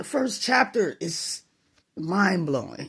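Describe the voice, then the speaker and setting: A woman's medium-pitched voice with vocal fry, in an American accent. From Chicago, US Midwest. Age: 60s. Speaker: vlogger. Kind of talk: personal opinion monologue.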